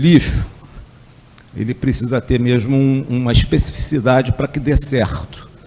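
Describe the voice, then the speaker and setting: A man at a medium pitch and fairly slow pace, with noticeable background noise. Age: 60s. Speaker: energy researcher. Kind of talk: lecture. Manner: hesitant, with fillers.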